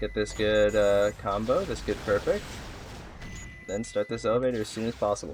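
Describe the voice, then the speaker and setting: With music in the background, the speaker stops often and for long stretches. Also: moderate pace. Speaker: gaming video creator. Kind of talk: gameplay guide commentary. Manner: casual, conversational.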